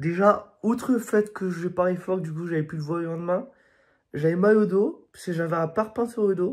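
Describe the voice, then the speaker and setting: The recording is very clean, with a silent background. A man speaks at a moderate pace in a high pitch that varies in an ordinary way. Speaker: vlogger. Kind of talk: casual vlog talk. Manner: hesitant, many fillers.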